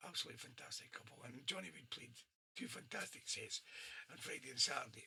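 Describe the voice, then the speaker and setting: A man with a Scottish accent speaks at a very fast pace at medium pitch, his tone bright and sharp and his intonation lively. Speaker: radio DJ. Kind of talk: live radio show chat. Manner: straining to be heard.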